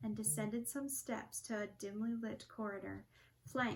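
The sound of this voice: Reading in an unforced way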